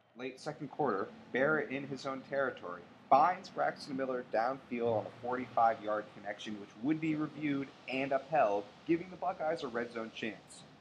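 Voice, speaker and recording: A man speaks in an unremarkable speaking voice at a moderate pace. His pitch is medium, and his loudness swings widely. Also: ordinary pitch variation. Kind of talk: sports recap narration. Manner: brisk, clipped play-by-play delivery; formal, even broadcaster tone.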